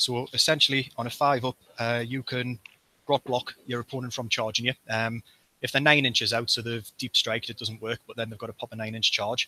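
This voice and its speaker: A man at medium pitch with a bright, sharp tone, at a moderate pace, in a dry, close sound with no echo. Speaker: tabletop gaming club member, podcast host. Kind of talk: casual chat.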